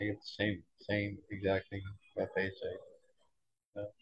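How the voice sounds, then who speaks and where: A man with an American accent speaks quietly in a fairly low pitch. His voice is somewhat breathy. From Boston, US. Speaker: toy designer. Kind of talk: casual interview. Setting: fan convention.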